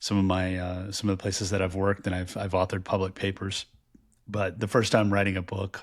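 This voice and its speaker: Very clean and silent in the background, the recording has a man talking very fast in a very deep, low pitch with monotone, flat intonation. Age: 50s. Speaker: podcast co-host and author. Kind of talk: casual chat. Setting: virtual recording. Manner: loud, projecting voice.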